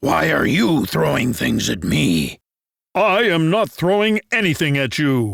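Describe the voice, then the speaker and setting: A man puts on a growling character voice, fairly high in pitch, speaking at a fairly slow pace. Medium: read story. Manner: gruff, quarrelsome.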